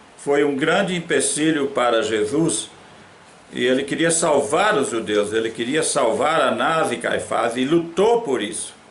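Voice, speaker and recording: A man with a fairly high voice speaks at a fairly slow pace with lively intonation, and the clip has audible room echo and noticeable background noise. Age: 80s+. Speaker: pastor. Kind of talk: sermon.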